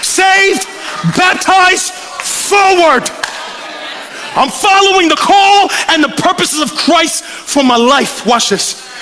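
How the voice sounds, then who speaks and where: A man's passionate, extremely high-pitched voice at a very slow pace with long, frequent pauses, ordinary pitch variation, and very even loudness over crowd noise in the background. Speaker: preacher. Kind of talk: live sermon. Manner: passionate, authoritative.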